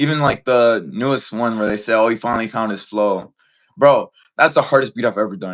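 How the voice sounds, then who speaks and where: With an American accent, this man talks at a fairly quick pace in an unremarkable speaking voice, medium in pitch and with ordinary pitch variation. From Englewood, Chicago area, US. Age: 20s. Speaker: rapper. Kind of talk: casual interview.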